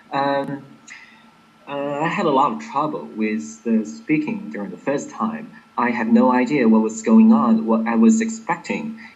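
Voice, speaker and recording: A man with an American accent, fairly high-pitched for a man, fairly slow, with very wide pitch swings, audible room echo and noticeable background noise. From Inner Mongolia, China. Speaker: exam candidate. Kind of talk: interview. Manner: clear, careful enunciation.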